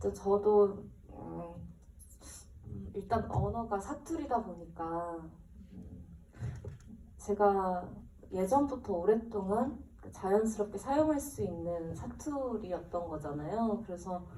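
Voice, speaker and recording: A woman with a medium pitch and lively intonation speaks very slowly, her loudness swinging widely, amid audible room echo and noticeable background noise. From South Korea, Busan. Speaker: actress. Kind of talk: post-screening Q&A.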